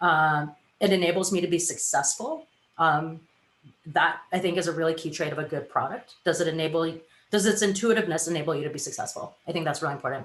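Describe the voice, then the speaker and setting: Talking at a very fast pace, a woman keeps a fairly low pitch with ordinary pitch variation. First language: not English. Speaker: design professional, panelist. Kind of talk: panel discussion.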